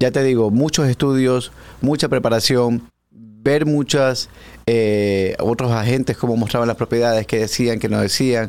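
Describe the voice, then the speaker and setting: In a plain, everyday voice, a man speaks at a medium pitch and a fairly slow pace, with very even loudness and fairly even intonation. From Ecuador, Guayaquil. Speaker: real estate agent. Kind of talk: interview.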